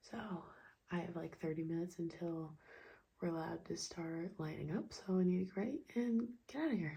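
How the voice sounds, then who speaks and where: Fairly quick and somewhat breathy, a woman speaks with a fairly low pitch. Her tone is dark and mellow, with ordinary pitch variation. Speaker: vlogger, amateur runner. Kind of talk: casual vlog talk to camera.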